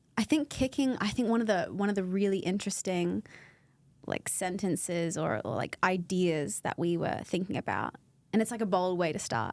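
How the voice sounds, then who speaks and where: The speaker talks at a moderate pace in an Australian accent. The intonation is lively. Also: woman. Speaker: podcast co-host, pregnancy support worker. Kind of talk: casual chat. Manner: talkative.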